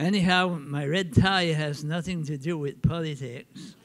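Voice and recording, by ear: At a fairly slow pace, a man with an Acadian accent speaks in a fairly high pitch with fairly even intonation, and audible room echo surrounds him. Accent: Acadian French Canadian.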